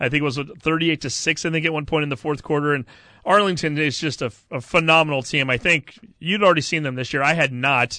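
A plain, everyday voice from a man with an American accent, fairly high in pitch, at a fairly quick pace with ordinary pitch variation. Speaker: sports radio co-host. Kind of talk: casual sports talk and interviews.

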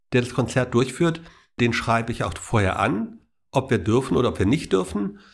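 A man with a medium pitch and a somewhat breathy voice speaks at a moderate pace with lively intonation. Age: 60s. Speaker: charity volunteer coordinator. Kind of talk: interview.

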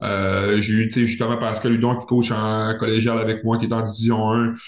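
Room echo is audible around this man's voice. He speaks at medium pitch with monotone, flat intonation. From Quebec, Saguenay region. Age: 30s. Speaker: professional hockey player. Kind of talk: casual interview.

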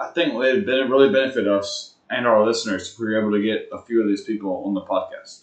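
Speaking very fast with hardly any pauses, a man talks with an Alabama accent. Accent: Southern US (Alabama). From US South, Huntsville, Alabama. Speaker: podcast co-host. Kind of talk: casual chat.

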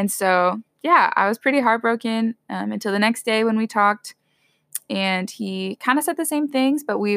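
A plain, everyday voice speaks at a moderate pace with ordinary pitch variation. The sound is dry and close, with no echo. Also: woman. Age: 20s. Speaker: college student and host's older sister. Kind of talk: casual chat, personal testimony.

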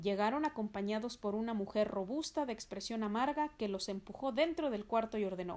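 The voice reads in a natural way. It is a natural reading voice.

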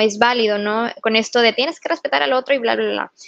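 Recorded with a dry, close sound and no echo, a woman speaks at a fairly high pitch. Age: young. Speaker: psychologist and psychotherapist. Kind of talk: casual chat. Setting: remote recording from home.

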